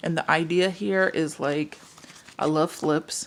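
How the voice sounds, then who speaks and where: Noticeable background noise fills the recording. A woman speaks through it. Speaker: craft and planner YouTuber. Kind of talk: casual vlog talk to camera. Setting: home, camera on tripod. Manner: rambling, filler-heavy.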